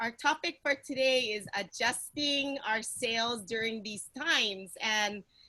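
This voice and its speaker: A high-pitched woman with a Hawaiian accent and ordinary pitch variation. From Hawaii, Kauai. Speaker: panel moderator. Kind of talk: panel discussion. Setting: video call.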